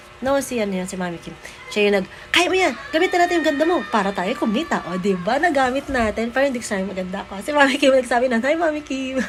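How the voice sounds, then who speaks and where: Over noticeable background noise, a woman talks very fast in an animated tone, her high voice swinging very widely in pitch. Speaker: vlogger and mother of a child talent. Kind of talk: casual family vlog.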